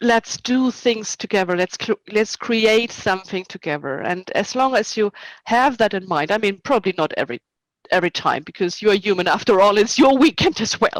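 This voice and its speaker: A woman with a non-native accent talks at a moderate pace and a fairly high pitch with lively intonation, in a very clean recording that has a dry, close sound with no echo and a silent background. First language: not English. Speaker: historical reenactment society officer and event organizer. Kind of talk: interview.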